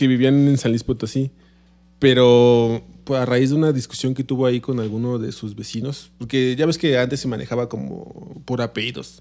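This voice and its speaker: Speaking with a Mexican accent, a man has a dark, mellow tone. His intonation is fairly even and his pace moderate. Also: medium pitch for a man. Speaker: podcast co-host. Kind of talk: casual chat.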